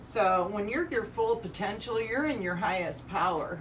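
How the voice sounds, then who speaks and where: Speaking at a very slow pace, a woman with a fairly high pitch is heard through audible room echo and noticeable background noise. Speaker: tarot reader. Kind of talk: tarot reading with personal sharing. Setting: living room, camera far away. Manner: loud. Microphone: camera far away.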